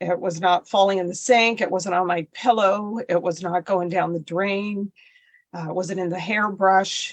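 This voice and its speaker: A woman's unremarkable speaking voice at medium pitch, moderate in pace, with fairly even intonation. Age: 60s. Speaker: podcast guest with alopecia. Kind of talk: personal story in interview.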